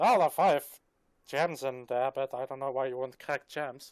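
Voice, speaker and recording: A man performs a put-on character voice at medium pitch. His pace is moderate. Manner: dismissive, skeptical.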